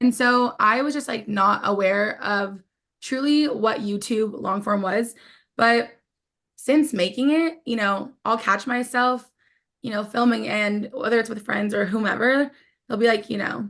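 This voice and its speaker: A woman with a plain, everyday voice talks at a fairly slow pace, her pitch fairly high with ordinary pitch variation. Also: quiet background. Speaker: podcast host. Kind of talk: casual chat.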